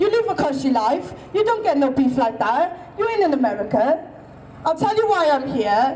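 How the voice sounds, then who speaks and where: A woman with a Welsh accent speaks in a high pitch, her voice swinging very widely while its loudness stays very even. Audible room echo and noticeable background noise fill the recording. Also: moderate pace. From Wales. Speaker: protest speaker. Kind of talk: protest speech.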